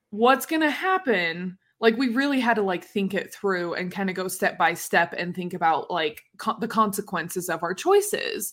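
A woman speaks at a medium pitch and a moderate pace with ordinary pitch variation and hardly any pauses. The recording is very clean, with a silent background. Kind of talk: casual chat. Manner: animated, joking.

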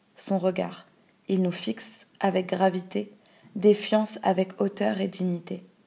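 A woman's dark, mellow tone with vocal fry, at a very slow pace. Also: medium pitch for a woman, fairly even intonation. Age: 20s. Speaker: activist narrator. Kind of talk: scripted narration.

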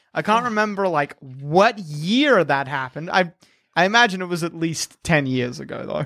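In an Australian accent, a man talks at a moderate pace with a high pitch, a bright, sharp, animated tone and lively intonation, on a very clean recording with a silent background. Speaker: podcast host. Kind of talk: casual comedic chat. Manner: joking, animated.

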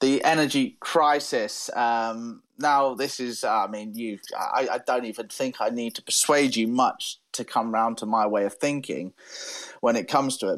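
A man with a West Country accent, medium pitch, fairly even intonation and a fairly slow pace against a quiet background. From southwest England, Devon. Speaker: podcast co-host. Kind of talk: casual debate chat.

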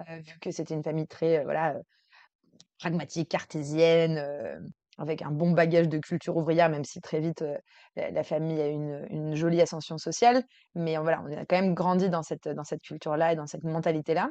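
A woman is speaking with fairly even intonation. Her loudness swings widely. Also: fairly low pitch for a woman, fairly quick pace. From France, Versailles. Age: 30s. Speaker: integrative coach. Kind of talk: interview. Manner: hesitant, many fillers.

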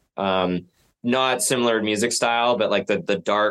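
A man's monotone, flat intonation over a quiet background. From Canada, Vancouver Island (Nanaimo). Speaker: rock musician. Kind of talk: casual interview.

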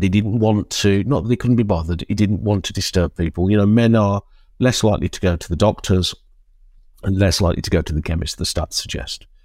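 Speaking very fast with a British accent, a man has a fairly low pitch and ordinary pitch variation, recorded with a dry, close sound and no echo. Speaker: men's community charity leader. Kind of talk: interview. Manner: halting.

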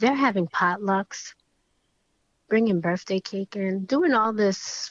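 Speaking very slowly, a woman with an American accent uses a medium pitch. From South Bronx, New York. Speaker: licensed clinical social worker. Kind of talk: casual interview chat.

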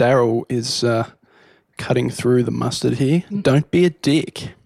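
In an Australian accent, the speech goes very slowly with long, frequent pauses and ordinary pitch variation. The sound is dry and close with no echo. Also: man. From Hobart, Tasmania. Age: 20s. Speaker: wedding photographer. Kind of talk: casual chat.

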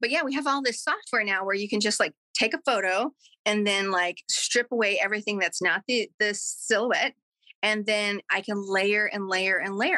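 A woman speaks at a fairly high pitch in a bright, sharp tone. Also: dry, close sound with no echo. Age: 40s. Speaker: artist and speaker. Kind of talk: interview.

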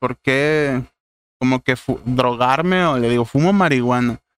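Moving at a moderate pace, a man talks in a plain, everyday voice with ordinary pitch variation. The sound is dry and close with no echo. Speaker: podcast guest. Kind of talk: casual chat.

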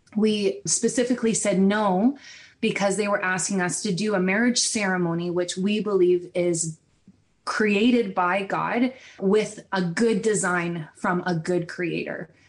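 Talking fairly slowly with a Canadian accent, a woman at a medium pitch keeps a fairly even intonation in an ordinary speaking voice. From Ontario, Canada. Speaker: wedding videographer. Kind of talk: interview.

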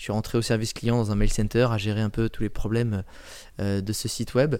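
Pitched at a medium level, the man's voice shows ordinary variation in pitch. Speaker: personal branding coach and travel blogger. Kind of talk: casual interview. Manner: animated, talks constantly; loud.

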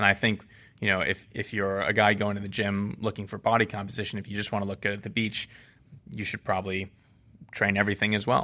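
A man with an American accent speaks very fast in a fairly low, bright and sharp voice on a very clean recording with a silent background. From Boston, Massachusetts. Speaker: strength coach and sports scientist. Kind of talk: interview. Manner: hesitant, many fillers.

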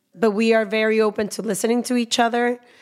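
A woman talks at a moderate pace. Her voice sits fairly high. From Mexico (Guadalajara). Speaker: podcaster and media entrepreneur. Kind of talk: interview conversation.

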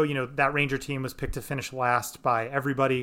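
In a very clean recording with a silent background, a man speaks very fast at a fairly high pitch with a bright, sharp tone. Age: 30s. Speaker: podcast host. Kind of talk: casual chat.

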